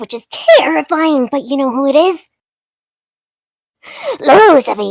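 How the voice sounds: A woman puts on a character voice, pitched high. She talks at a fairly slow pace.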